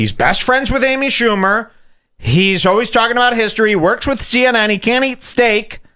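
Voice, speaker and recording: With a Chicago accent, a man speaks in a raised, projected voice with a bright, sharp tone. The background is quiet. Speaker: podcast host. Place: studio. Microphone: studio mic.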